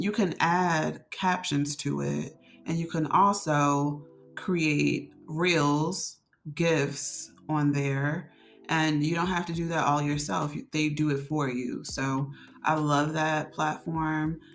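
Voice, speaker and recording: Music plays in the background as a woman speaks at a very slow pace. Her pitch is very deep and low, and her intonation fairly even. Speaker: content creator vlogger. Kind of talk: casual tutorial vlog. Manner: frequent fillers and false starts; slight stutter at times.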